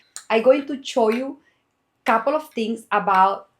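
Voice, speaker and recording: In a very clean recording with a silent background, a woman with an ordinary speaking voice speaks at a moderate pace. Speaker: knitwear designer. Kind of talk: tutorial.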